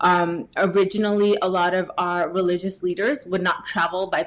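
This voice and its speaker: Here is a woman with a New Jersey accent. Her intonation stays fairly even. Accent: General American, New Jersey. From US, New Jersey. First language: Gujarati. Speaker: tech professional and yoga teacher. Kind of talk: podcast interview.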